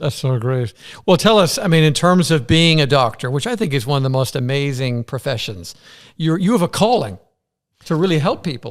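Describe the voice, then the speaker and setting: A man with an Irish accent, fairly high-pitched, at a moderate pace, his enthusiastic tone and lively intonation captured in a very clean recording with a silent background. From Ireland. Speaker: interviewer. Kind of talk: interview conversation.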